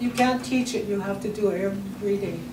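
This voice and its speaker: A woman's medium-pitched voice at a moderate pace, with fairly even intonation, audible room echo and noticeable background noise. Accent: Albertan. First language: Blackfoot. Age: 70s. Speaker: elder and language teacher. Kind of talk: panel discussion.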